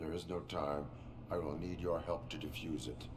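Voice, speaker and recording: Using a put-on character voice, a man speaks at a moderate pace with a very deep, low pitch over loud background noise. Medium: video game. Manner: flat, clipped, emotionless.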